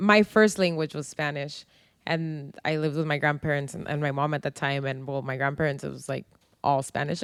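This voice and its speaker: Talking at a very fast pace, a woman uses a very deep, low pitch. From San Diego, US Southwest. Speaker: podcast co-host. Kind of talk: casual chat. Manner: code-switching English and Spanish.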